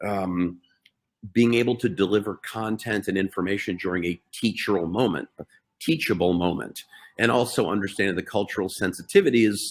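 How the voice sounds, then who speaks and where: A man with a fairly low pitch, a plain, everyday voice, ordinary pitch variation, and a fairly quick pace. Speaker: healthcare technology entrepreneur. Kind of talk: webinar presentation.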